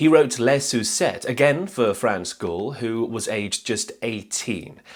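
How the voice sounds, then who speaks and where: A man with a normal speaking voice, medium pitch, lively intonation and a fairly slow pace. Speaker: music history youtuber. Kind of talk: scripted narration.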